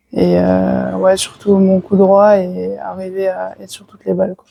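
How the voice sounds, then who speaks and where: A woman speaks at a fairly slow pace. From France (Burgundy/Lyon). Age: 20s. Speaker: professional tennis player. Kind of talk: interview. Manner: hesitant, many fillers.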